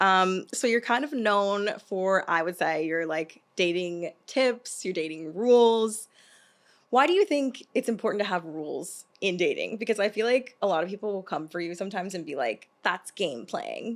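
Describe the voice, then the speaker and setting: A woman's normal speaking voice, medium in pitch, with lively intonation at a moderate pace. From US South. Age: 30s. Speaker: podcast host. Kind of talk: casual interview chat. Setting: studio.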